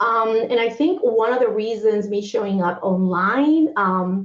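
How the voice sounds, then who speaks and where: A woman with a normal speaking voice and a fairly high pitch talks at a fairly slow pace with lively intonation. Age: 40s. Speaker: humanitarian aid worker and entrepreneur. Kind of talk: interview.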